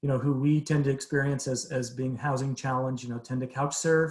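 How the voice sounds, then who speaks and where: Talking at a very fast pace, a man with a fairly high voice sounds somewhat breathy. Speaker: behavioral health agency presenter. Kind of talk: presentation to city council. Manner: halting, repetitive fillers.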